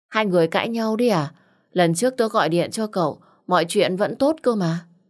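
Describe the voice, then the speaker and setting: A woman is speaking. Her pace is fairly slow. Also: quiet background. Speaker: audiobook narrator. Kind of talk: emotional story narration with dialogue. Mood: warm, deep, emotional. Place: home room. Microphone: studio mic.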